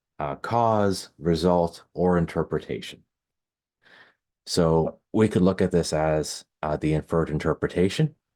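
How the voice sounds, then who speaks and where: Soft-spoken and fairly slow, a man talks in a very deep, low voice with a dark, mellow tone and ordinary pitch variation. The recording is very clean, with a silent background. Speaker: Hebraist and linguist. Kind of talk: Bible study lecture to camera.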